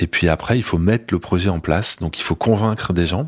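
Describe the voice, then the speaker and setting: Fairly quick speech in a very clean recording, silent background, with a dry, close sound and no echo. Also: man. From France, Grenoble. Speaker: musician. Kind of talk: interview testimony. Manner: halting, many hesitations.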